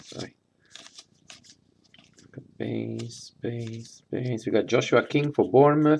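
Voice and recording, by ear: A man's voice with vocal fry. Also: slightly mellow tone.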